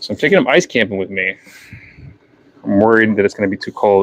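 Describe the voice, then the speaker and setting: A man's fairly low voice at a very fast pace, with a slight New Hampshire accent, in a dry, close sound with no echo. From New Hampshire, US. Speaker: fishing tackle seller and livestreamer. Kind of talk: casual livestream chat. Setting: unheated workshop, livestream.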